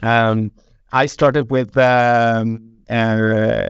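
This man speaks with a fairly low pitch. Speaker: head of QA technology. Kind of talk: casual panel discussion. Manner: hesitant, many fillers.

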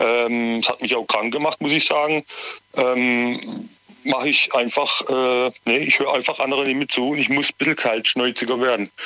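A man speaks at a moderate pace and medium pitch, flat and monotone, at a very even loudness. Noticeable noise runs in the background. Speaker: caller. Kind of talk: radio call-in. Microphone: sounded far away at first.

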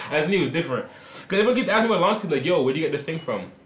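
With an American accent, a man speaks amid noticeable background noise and audible room echo. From New Jersey. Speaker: podcast host. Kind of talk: casual chat.

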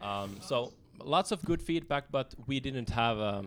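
With a Finnish accent, a man speaks on a very clean recording with a silent background. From Finland. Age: 30s. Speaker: author and activist. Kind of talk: casual interview. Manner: hesitant, many fillers.

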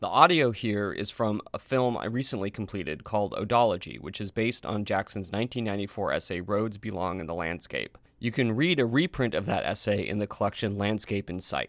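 With an American accent, a man talks at a fairly quick pace in an unremarkable speaking voice, his pitch fairly low and its variation ordinary. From US Pacific Northwest, Portland. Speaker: podcast host and filmmaker. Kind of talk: scripted narration; casual chat.

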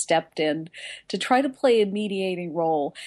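Over a quiet background, a woman with a normal speaking voice talks at a medium pitch and a moderate pace, using lively intonation. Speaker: foreign correspondent. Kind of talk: news report.

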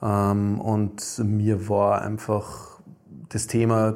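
A man's fairly low-pitched voice. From Upper Austria. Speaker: company founder. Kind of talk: interview. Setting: studio.

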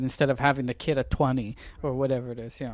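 This is a plain, everyday voice. The recording is very clean, with a silent background. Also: man. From Canada. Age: 20s. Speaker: political commentator. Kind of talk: casual interview chat.

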